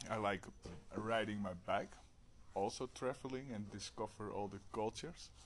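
A man with a Dutch accent, fairly low in pitch, at a moderate pace with fairly even intonation. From Netherlands. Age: 30s. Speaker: warehouse manager. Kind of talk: casual chat. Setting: video call.

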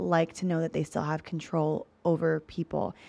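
A woman's fairly low, dark, mellow voice comes through with a dry, close sound, no echo, and a quiet background. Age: 30s. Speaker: podcast host. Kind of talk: casual chat.

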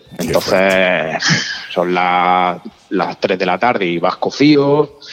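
A man with a Catalan accent speaks at a very deep, low pitch with ordinary pitch variation. Noticeable background noise runs under his voice. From Catalonia, raised in Almería. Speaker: motorcycle traveller, tattoo artist. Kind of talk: casual chat, travel storytelling.

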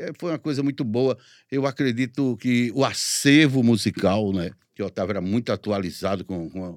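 In a very clean, dry and close recording with a silent background and no echo, a man with a normal speaking voice and medium pitch talks at a moderate pace with lively intonation. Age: 50s. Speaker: radio announcer. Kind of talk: interview.

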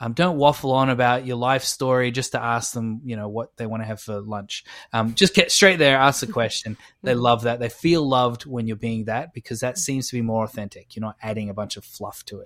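Over a very clean recording with a silent background, a man with an Australian accent talks at a fairly quick pace in a medium pitch with ordinary pitch variation. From Australia, Adelaide. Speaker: podcast co-host. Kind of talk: casual chat.

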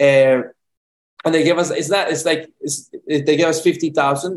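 Fairly high in pitch, a man with a Spanish accent speaks at a moderate pace with fairly even intonation. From Colombia, Medellin. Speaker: film director. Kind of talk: interview. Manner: halting, many repetitions.

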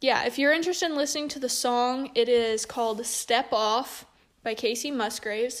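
A high-pitched woman's voice with fairly even intonation. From Missouri, south central. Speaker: podcast host, young farmer. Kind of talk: casual solo monologue.

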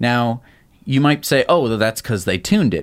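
A man talks at a medium pitch, captured on a very clean recording against a silent background. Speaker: tech news show co-host. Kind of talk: casual news chat.

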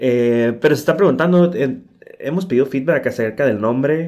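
A man talks at a moderate pace with an ordinary speaking voice. His pitch is medium, with ordinary pitch variation. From Tijuana, Mexico. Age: 30s. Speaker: podcast co-host, UX designer. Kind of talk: casual chat.

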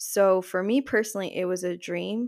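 Speaking at a fairly slow pace, a woman with a New Jersey accent keeps a medium pitch and fairly even intonation. The recording is very clean, with a silent background. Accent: New Jersey American English. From New Jersey, US. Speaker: podcaster and spiritual practitioner. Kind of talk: casual interview chat.

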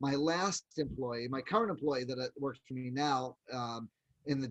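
An unremarkable speaking voice from a man at medium pitch, moderate pace and ordinary pitch variation. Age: 50s. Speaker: professional photographer. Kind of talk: interview.

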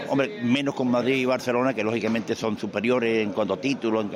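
Background noise is clearly audible throughout. Over it, a man talks at a rather brisk pace. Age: 70s. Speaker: veteran football radio commentator. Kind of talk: storytelling interview.

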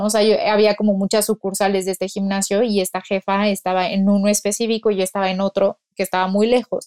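A woman at a medium pitch talks at a very fast pace with hardly any pauses, in monotone, flat intonation. The sound is dry and close, with no echo. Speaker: nutritionist. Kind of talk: casual chat.

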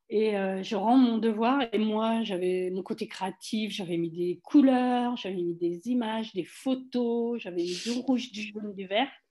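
A woman speaks in a normal speaking voice at a fairly high pitch with ordinary pitch variation. She goes at a fairly slow pace with hardly any pauses. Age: 60s. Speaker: wellness cooperative founder. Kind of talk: casual interview.

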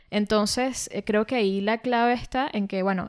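With fairly even intonation, this woman talks at a medium pitch. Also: very clean recording, silent background. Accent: Venezuelan. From Venezuela, Caracas. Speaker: podcast co-host, language teacher. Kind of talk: casual chat. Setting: studio.

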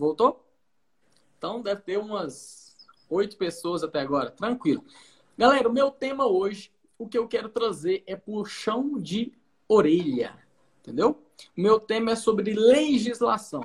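Lively intonation from a man with a high pitch, at a fairly slow pace with long, frequent pauses. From Brazil, Goiás. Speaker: pharmacist. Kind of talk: livestream talk. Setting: online livestream.

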